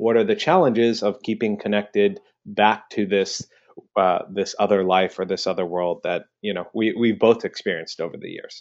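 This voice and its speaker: In a plain, everyday voice, a man speaks at a medium pitch and a moderate pace. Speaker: podcast co-host. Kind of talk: interview conversation.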